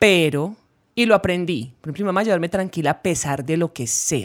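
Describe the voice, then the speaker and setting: A woman speaks at a moderate pace in an animated tone with lively intonation, in a very clean recording with a silent background. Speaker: podcast co-host, musician. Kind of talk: casual chat.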